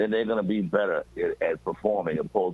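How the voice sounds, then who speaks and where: A fairly quick-paced male voice over noticeable background noise. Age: 60s. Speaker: blues musician and singer. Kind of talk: radio interview. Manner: stammering repetitions.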